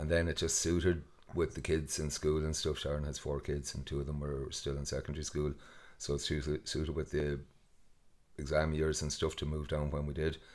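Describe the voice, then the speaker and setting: In a west of Ireland accent, a man speaks fairly quickly with flat, monotone intonation. His pitch is very deep and low. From Ireland, west coast (Mayo). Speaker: festival co-founder and farmer. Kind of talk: casual interview.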